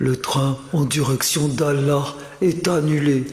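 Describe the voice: Using a put-on character voice, a man speaks at a fairly high pitch and a fairly slow pace. A clear echo surrounds his voice.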